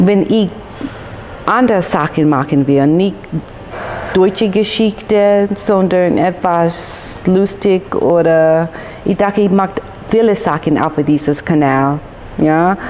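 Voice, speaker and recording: A woman's very slow, very evenly loud speech in an English accent, with long, frequent pauses and noticeable background noise. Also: medium pitch for a woman, ordinary pitch variation. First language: English (speaking German). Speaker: YouTuber. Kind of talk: casual vlog chat. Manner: halting, hesitant.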